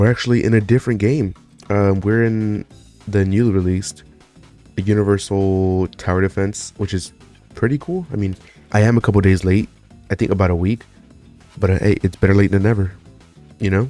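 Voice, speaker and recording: Fairly low in pitch, a man talks at a fairly quick pace in a relaxed tone, his intonation fairly even. Long, frequent pauses come up, with music in the background. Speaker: gaming video creator. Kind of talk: casual gameplay commentary. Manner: casual, relaxed.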